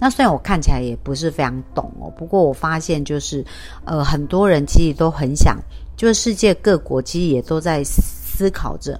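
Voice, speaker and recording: A woman speaks at a moderate pace, her loudness swinging widely. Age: 50s. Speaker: life coach podcaster. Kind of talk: solo podcast talk.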